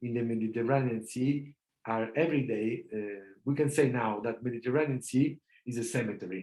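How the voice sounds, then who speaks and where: This man's tone is dark and mellow. He talks at a medium tempo. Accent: Italian. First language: Italian. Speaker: law professor. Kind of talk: lecture Q&A. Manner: halting, many fillers.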